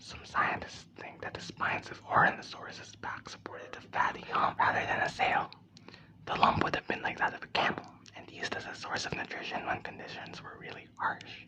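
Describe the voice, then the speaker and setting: Whispering at a fairly quick pace, the speaker is heard over noticeable background noise. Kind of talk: ASMR book reading. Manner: whispered.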